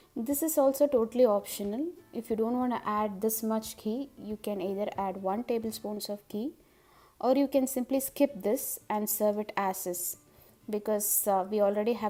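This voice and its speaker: Over faint background music, a woman with a Tamil accent speaks at a moderate pace in a medium pitch, her tone dark and mellow and her pitch variation ordinary. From Madurai, Tamil Nadu, India; Tamil Nadu. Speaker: cooking vlogger. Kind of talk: cooking tutorial. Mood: cheerful, warm.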